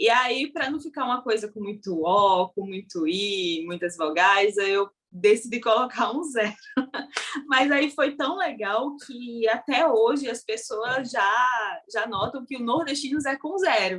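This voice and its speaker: A woman speaks in a plain, everyday voice at a fairly slow pace. Her pitch is fairly high, and her intonation is lively. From Brazil, Paraíba (Northeast). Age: young. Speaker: social media content creator. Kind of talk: interview conversation. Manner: casual.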